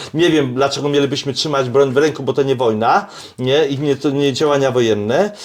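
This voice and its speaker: Amid noticeable background noise, an animated man speaks in a fairly high pitch with ordinary pitch variation. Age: 60s. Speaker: self-defence and shooting instructor. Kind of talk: casual chat. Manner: halting.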